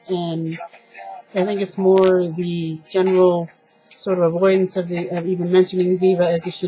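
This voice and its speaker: A quiet woman's voice, fairly low in pitch and monotone, with music in the background. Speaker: TV review vlogger. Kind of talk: casual monologue review. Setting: at home at night, people sleeping. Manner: quiet, keeping voice down.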